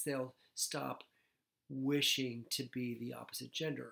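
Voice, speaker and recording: A man talks rather slowly, and the surroundings stay quiet. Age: 60s. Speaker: psychiatrist; personal storyteller. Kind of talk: vlog monologue. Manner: halting, many fillers. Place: home room.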